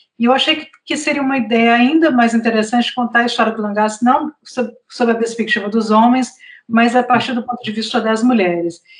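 At a moderate pace, a woman speaks in an ordinary speaking voice, fairly high in pitch with ordinary pitch variation. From Brazil, Northeast (Fortaleza, Ceará). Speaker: journalist and author. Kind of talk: interview.

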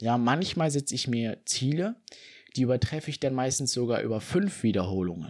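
A man speaks in an unremarkable speaking voice. The recording is very clean, with a silent background. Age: 20s. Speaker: fitness podcaster. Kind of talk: solo podcast monologue.

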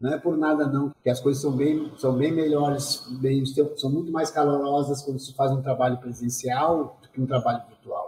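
A man's fairly high, monotone voice with flat intonation, at a moderate pace with hardly any pauses. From southern Brazil, Pelotas. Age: 40s. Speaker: dancer and choreographer. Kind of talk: interview.

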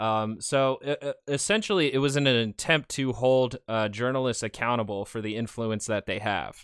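A man with a normal speaking voice talks at medium pitch and a moderate pace, with ordinary pitch variation, hardly any pauses and a dry, close sound with no echo. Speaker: news commentator. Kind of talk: news-style commentary and reaction to clips. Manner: sarcastic, filler-heavy.

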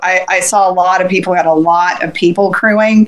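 A woman speaks at a moderate pace with medium pitch and fairly even intonation. Noticeable noise sits in the background. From Central Florida. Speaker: ultrarunner and race crew. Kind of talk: casual chat.

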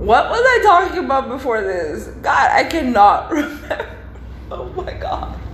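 A woman speaks in an animated tone, with big swings in loudness. Noticeable background noise and audible room echo surround her. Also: fairly slow pace. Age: 20s. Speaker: podcast host. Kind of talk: casual monologue. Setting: office at work.

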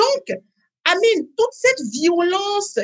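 At a very slow pace, a woman talks in a slight West African accent. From Benin (Parakou). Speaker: life coach. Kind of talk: interview.

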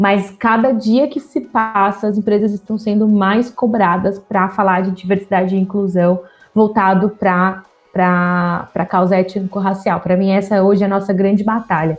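A woman with an ordinary speaking voice talks at a moderate pace with fairly even intonation and hardly any pauses. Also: medium pitch for a woman. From Brazil, São José dos Campos (interior of São Paulo state). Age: 20s. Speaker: diversity consultant and communications analyst. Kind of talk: interview conversation.

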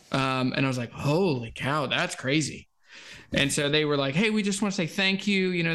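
Speaking at a fairly quick pace, a man with an American accent has an unremarkable speaking voice, a fairly high pitch and ordinary pitch variation. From Virginia (US South). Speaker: guitar YouTuber. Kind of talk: casual chat.

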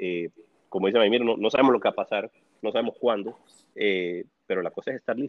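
A man rattles along at a very fast pace but breaks often with long pauses. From El Salvador. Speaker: real estate developer. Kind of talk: casual chat. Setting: remote call from home.

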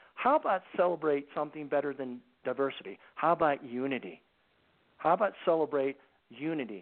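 At a fairly brisk clip, a man delivers his words. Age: 60s. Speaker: anti-trafficking organization founder, former Marine and CIA officer. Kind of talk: radio talk show interview. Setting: phone call.

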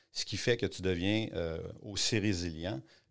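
A man speaks with a Quebec accent. His pitch is very deep and low, and his intonation fairly even. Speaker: art gallery owner and entrepreneur. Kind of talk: interview. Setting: studio. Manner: halting.

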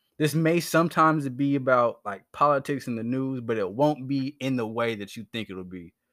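On a very clean recording with a silent background, a man at a medium pitch talks at a moderate pace with hardly any pauses, his tone animated, his loudness swinging widely and his pitch varying in an ordinary way. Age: 20s. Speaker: podcast host. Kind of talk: casual monologue.

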